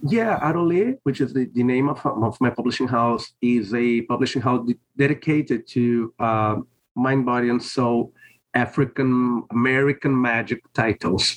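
A man with a Portuguese accent speaks at a moderate pace and medium pitch. His intonation is fairly even and his loudness very even. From Brazil. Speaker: priest and author. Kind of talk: interview conversation. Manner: halting.

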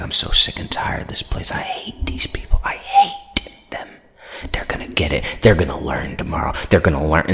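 A man puts on a raspy character voice, speaking at a moderate pace. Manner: mocking, angry.

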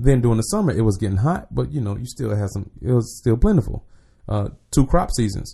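A man speaks with an American accent. His tone is dark and mellow, and somewhat breathy. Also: medium pitch for a man, fairly quick pace. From Jacksonville, Florida. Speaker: motivational speaker, Navy veteran. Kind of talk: casual chat. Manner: conversational.

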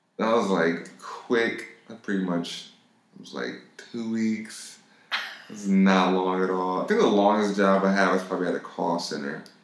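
A man with an American accent speaks at a moderate pace in a fairly low voice with ordinary pitch variation. Room echo is audible. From Los Angeles, US. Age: 20s. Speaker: music producer. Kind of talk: casual chat. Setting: studio.

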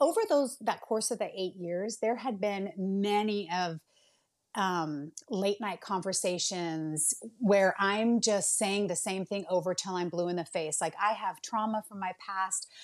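Speaking at a fairly slow pace with a Californian accent, a woman uses a medium pitch and ordinary pitch variation on a very clean recording with a silent background. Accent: Californian American. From Bay Area, California. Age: 40s. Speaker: nurse and home baker. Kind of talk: casual interview chat. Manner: animated.

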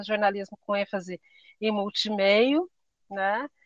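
Here is a woman with a plain, everyday voice and a fairly high pitch. She speaks at a fairly slow pace, in a dry, close sound with no echo. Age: 40s. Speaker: writer and public servant. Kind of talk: casual interview chat.

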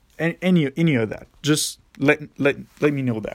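With a fairly high pitch and ordinary pitch variation, a man talks at a fairly slow pace. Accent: Quebec. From Quebec, near Montreal. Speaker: podcaster. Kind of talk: solo monologue. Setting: parents' basement. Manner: casual with frequent fillers.

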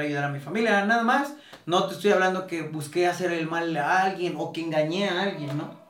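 Noticeable background noise and audible room echo accompany speech delivered at a fairly quick pace. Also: man. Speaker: sneaker reseller. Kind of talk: casual interview. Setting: at his home. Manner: relaxed.

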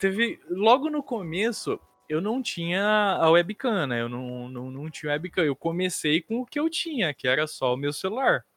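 A man with a high pitch speaks at a fairly slow pace, his voice swinging very widely in pitch, with hardly any pauses. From interior of São Paulo state, Brazil. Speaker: designer and game streamer. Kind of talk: casual chat.

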